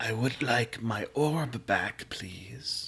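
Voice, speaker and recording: A man's put-on character voice at a medium pitch. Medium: actual play. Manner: cold, menacing.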